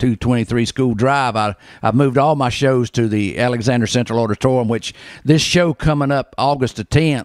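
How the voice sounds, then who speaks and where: A man with a North Carolina accent talks at a moderate pace with ordinary pitch variation, the sound dry with no echo and the background quiet. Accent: Southern US, North Carolina. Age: 60s. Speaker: barber, bluegrass concert promoter. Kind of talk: interview answer. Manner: casual, hesitant. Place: shop. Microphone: handheld.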